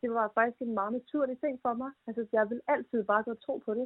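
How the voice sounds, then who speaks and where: Speaking at a moderate pace with fairly even intonation, a woman has an ordinary speaking voice, pitched fairly high. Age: 20s. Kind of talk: interview.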